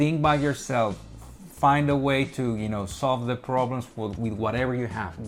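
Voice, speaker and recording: Music plays in the background. Over it, a man talks with a Spanish accent. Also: medium pitch for a man, ordinary pitch variation, moderate pace. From Colombia. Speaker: product designer, design agency owner. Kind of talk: interview.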